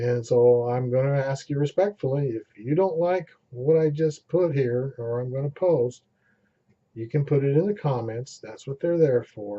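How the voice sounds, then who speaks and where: At a moderate speed, a man with a fairly high, somewhat breathy voice talks with ordinary pitch movement. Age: 60s. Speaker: amateur vlogger. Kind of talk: casual vlog monologue.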